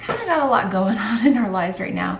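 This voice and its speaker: A woman with lively intonation, amid noticeable background noise and audible room echo. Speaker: stay-at-home mom vlogger. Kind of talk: casual vlog talk to camera. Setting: at home in kitchen. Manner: casual, filler-heavy; whispering at start.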